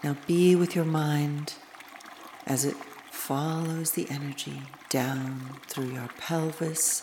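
Over noticeable background noise, the voice moves at a very slow pace in a calm, soothing tone. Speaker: meditation guide. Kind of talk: guided meditation. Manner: slow, calm, soothing; gentle, measured, with long pauses.

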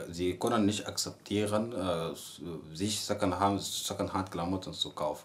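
A man with an Arabic accent at a very slow pace. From Sudan. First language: Arabic (speaking German). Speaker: university student. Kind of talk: interview. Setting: indoors in host's apartment, windows closed. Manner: halting, many repetitions and fillers.

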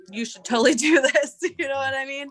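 A woman with an American accent, bright and sharp in tone, with lively intonation at a moderate pace. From southwestern Pennsylvania. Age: 30s. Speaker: retired river guide. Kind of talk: casual interview. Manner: laughs often.

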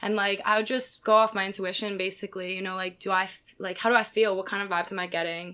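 At a very fast pace, a woman speaks in a bright, sharp tone at a medium pitch, with monotone, flat intonation. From Pennsylvania (Philadelphia suburbs). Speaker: pole dancer. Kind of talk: casual chat.

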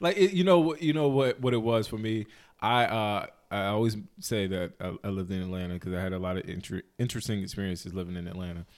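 Against a silent background on a very clean recording, a man with an American accent and an ordinary speaking voice talks fairly quickly at a fairly low pitch with lively intonation. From North Carolina, High Point-Greensboro area. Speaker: podcast co-host. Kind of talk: casual chat.

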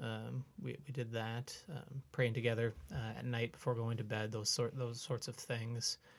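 A man with an Upper Midwest accent speaks at a fairly slow pace with hardly any pauses. His medium-pitched voice is somewhat breathy, with fairly even intonation. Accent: Upper Midwest (Minnesota). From central Minnesota (Brainerd area). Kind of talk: casual interview conversation. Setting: podcast recording.

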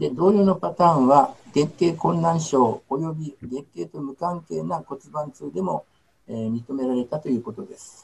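A somewhat breathy man speaks fairly slowly at a fairly high pitch. His intonation is lively and his loudness swings widely. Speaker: gynecologist. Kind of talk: lecture. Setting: video call. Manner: halting, many fillers.

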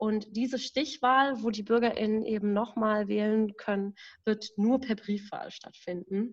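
A woman's fairly high, fairly slow delivery with fairly even intonation, in a normal speaking voice. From Berlin, Germany. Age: 20s. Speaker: staff member of a democracy advocacy group. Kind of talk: casual podcast conversation. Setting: at home in her apartment.

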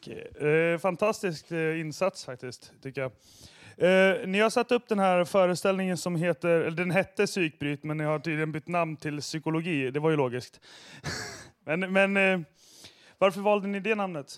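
In a very clean recording with a silent background, a man speaks at a moderate pace in a high pitch with ordinary pitch variation. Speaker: radio host. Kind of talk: radio show hosting.

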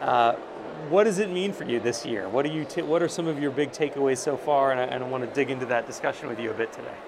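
A man talks at a very fast pace with a fairly high pitch and ordinary pitch variation. Background noise is noticeable. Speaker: interviewer, editor. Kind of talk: interview. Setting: noisy conference venue.

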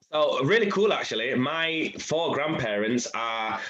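Over noticeable background noise, a man speaks with a Yorkshire accent. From Leeds, Chapeltown, England. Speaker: radio presenter and DJ. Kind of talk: casual interview.

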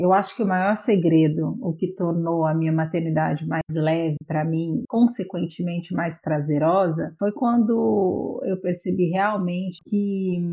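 Hardly pausing, a woman speaks at a fairly slow pace in a fairly low, somewhat breathy voice with ordinary pitch variation. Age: 30s. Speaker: photographer. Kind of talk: casual chat.

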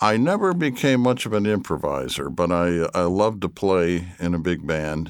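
A man with an American accent and a very deep, low voice keeps his loudness very even at a moderate pace. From Michigan. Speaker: orchestral trombonist. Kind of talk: casual chat. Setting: studio.

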